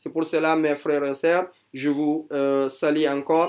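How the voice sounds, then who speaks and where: A man is speaking. He keeps a fairly slow pace. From Guinea. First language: not French; never schooled in French (speaking French). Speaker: religious teacher. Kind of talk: testimony. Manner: halting, hesitant with fillers.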